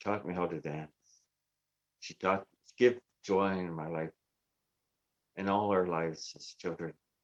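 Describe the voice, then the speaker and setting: Speaking fairly slowly with long, frequent pauses, this voice has a Canadian accent, fairly even intonation and big swings in loudness, in a dry, close sound with no echo. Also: man, very deep, low pitch for a man. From Canada. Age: 60s. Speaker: twelve-step recovery speaker. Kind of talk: recovery testimony. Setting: virtual convention.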